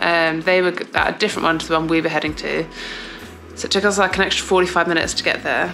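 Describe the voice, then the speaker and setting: Faint music plays in the background as a woman with a fairly low pitch speaks in a monotone, flat intonation. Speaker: athlete vlogger. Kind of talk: casual vlog chat. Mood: amused, self-deprecating. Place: home room. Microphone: phone near.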